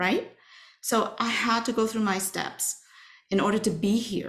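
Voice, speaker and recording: With a Chinese accent, a woman speaks at a moderate pace using ordinary pitch variation. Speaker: workshop facilitator. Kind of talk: webinar talk.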